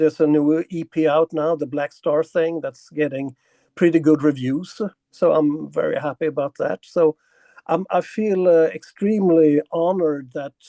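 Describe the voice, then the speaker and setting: In a dry, close recording with no echo, a man with a fairly high pitch and a dark, mellow tone speaks at a moderate pace with fairly even intonation. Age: 60s. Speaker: metal musician. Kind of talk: interview. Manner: halting.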